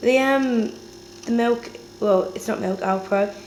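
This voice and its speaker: A woman with a British accent at a fairly slow pace, ordinary pitch variation, audible room echo and noticeable background noise. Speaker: lifestyle vlogger. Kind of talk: casual vlog.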